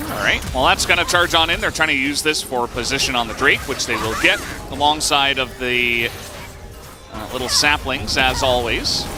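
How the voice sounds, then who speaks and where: A man talks at a medium pitch and a moderate pace, with ordinary pitch variation. Music can be heard in the background. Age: middle-aged. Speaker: esports caster. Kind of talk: live commentary. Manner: animated.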